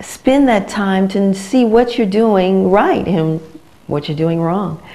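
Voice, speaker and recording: A woman with an American accent, fairly high in pitch, speaking fairly slowly with very wide pitch swings, amid noticeable background noise and audible room echo. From United States. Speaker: vocal coach. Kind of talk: promotional talk to camera. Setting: her teaching studio. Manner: casual, conversational.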